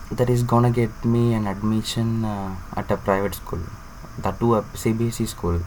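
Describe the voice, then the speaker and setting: Over noticeable background noise, a man with a Tamil Indian accent speaks at a moderate pace in a medium-pitched voice with fairly even intonation. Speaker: student vlogger. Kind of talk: personal vlog monologue. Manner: halting, many fillers.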